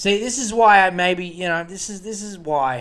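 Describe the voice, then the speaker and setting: A man's high voice with an Australian accent, lively intonation and a moderate pace. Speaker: solo podcast host. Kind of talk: casual monologue. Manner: animated.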